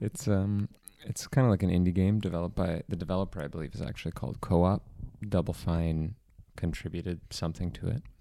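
A man talks very fast and quietly in a very deep, low pitch with ordinary pitch variation. His tone is dark and mellow. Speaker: podcast co-host. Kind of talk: casual chat. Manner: quiet, close to the mic.

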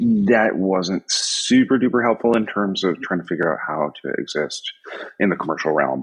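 Speaking at a moderate pace, a man talks in a US Northeastern accent. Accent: US Northeast. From upstate New York. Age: 50s. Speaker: graphic designer and design professor. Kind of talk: casual interview. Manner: casual, filler-heavy.

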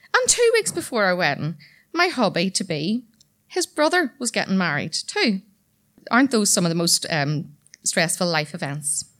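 A woman speaks at a moderate pace in a Northern Irish accent, her pitch medium with very wide swings. The recording is very clean, with a silent background. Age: 30s. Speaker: storyteller. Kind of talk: storytelling performance. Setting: stage with audience.

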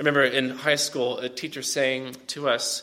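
At a moderate pace, a man is speaking. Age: 30s. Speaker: pastor. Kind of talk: sermon.

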